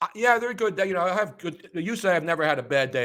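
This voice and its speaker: In a bright, sharp tone with vocal fry and an American accent, the speaker goes at a very fast pace in a very clean recording with a silent background. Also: man. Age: 70s. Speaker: sports radio host. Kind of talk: casual chat. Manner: animated.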